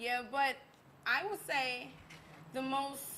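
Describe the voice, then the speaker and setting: In an American accent, a raised, projected voice carries over noticeable background noise and audible room echo. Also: woman. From US South, Baton Rouge, Louisiana. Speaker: singer and musician. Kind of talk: interview. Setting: live stream. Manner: halting.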